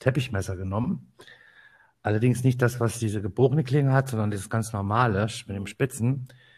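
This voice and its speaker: A somewhat breathy man speaks at a fairly quick pace with ordinary pitch variation. The recording is very clean, with a silent background. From northern Hesse, Germany (Kassel). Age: 50s. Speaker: photographer, podcast co-host. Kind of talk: casual chat.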